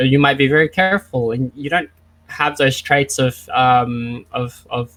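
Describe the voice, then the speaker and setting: A man with an Australian accent speaks at a fairly high pitch. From Australia, Vietnamese family. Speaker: esports psychology speaker. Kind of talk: lecture. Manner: fast.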